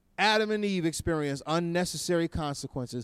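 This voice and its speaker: At a fairly quick pace, a man with a fairly high pitch uses a normal speaking voice and lively intonation on a very clean recording with a silent background. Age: 40s. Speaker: preacher. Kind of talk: sermon. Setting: chapel with audience.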